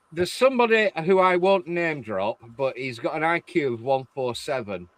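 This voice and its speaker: His pitch swings very widely. The man talks with an English accent. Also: dry, close sound with no echo. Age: 50s. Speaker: stream chat guest. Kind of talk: casual chat.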